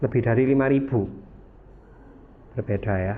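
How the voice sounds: At a moderate pace, a man speaks with a medium pitch and ordinary pitch variation.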